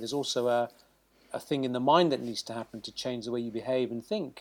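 A man with a British accent speaks at a moderate pace on a very clean recording with a silent background. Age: 50s. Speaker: surgeon. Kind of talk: interview.

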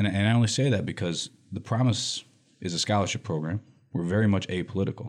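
Very fast speech from a man with an American accent, fairly low in pitch, with ordinary pitch variation. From US Midwest, Lansing, Michigan. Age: 40s. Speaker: nonprofit director. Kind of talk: interview.

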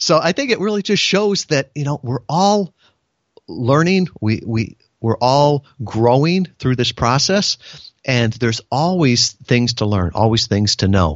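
This man has a Midwestern American accent and a medium pitch. He talks at a fairly slow pace with very wide pitch swings. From US Midwest, Chicago suburbs. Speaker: business consultant and navy veteran. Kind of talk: interview.

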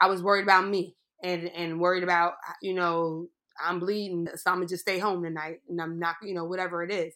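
A woman with an American accent, a fairly low pitch, a bright, sharp tone, monotone, flat intonation and a fairly quick pace. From US, Pittsburgh, Pennsylvania. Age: 30s. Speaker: writer and comedian. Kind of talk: interview testimony.

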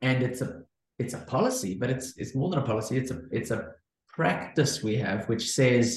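A man with a South African accent, medium-pitched and somewhat breathy, at a moderate pace with ordinary pitch variation. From South Africa, Cape Town. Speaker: entrepreneur, former pastor and academic. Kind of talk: interview, conversational. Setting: video call.

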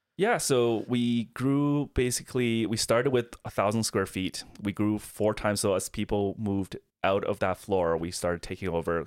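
At a moderate pace and with hardly any pauses, the voice comes through on a very clean recording against a silent background. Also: man, fairly low pitch for a man, ordinary pitch variation, dry, close sound with no echo. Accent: Chinese. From Beijing, China. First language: Chinese.

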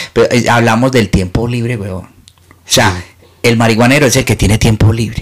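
A man with a Medellín accent, medium in pitch, at a moderate pace with fairly even intonation. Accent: Medellín paisa Spanish. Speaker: comedian. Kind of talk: casual chat.

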